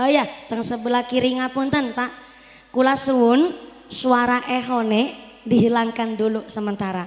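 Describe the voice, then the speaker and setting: A woman with a plain, everyday voice, fairly high in pitch, at a moderate pace with fairly even intonation. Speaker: female Islamic preacher. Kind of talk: sermon. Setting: village religious gathering with PA system. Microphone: echo effect removed from sound system.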